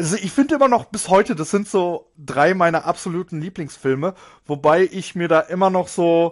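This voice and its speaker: At a moderate pace, a man with a high pitch speaks with ordinary pitch variation, his voice dry and close with no echo over a quiet background. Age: 30s. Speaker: podcast host, gaming youtuber. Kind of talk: casual monologue.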